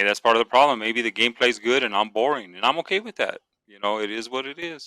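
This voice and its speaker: On a very clean, dry, close recording with no echo and a silent background, a man speaks at a medium pitch in a bright, sharp tone. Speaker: gamer and streamer. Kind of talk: casual chat. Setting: podcast. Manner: calm, not animated.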